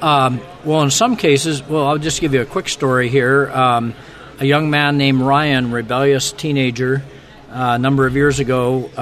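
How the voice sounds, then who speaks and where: Flat and monotone, a man speaks at medium pitch and a moderate pace over noticeable background noise. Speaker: ministry recruitment director. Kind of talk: radio interview.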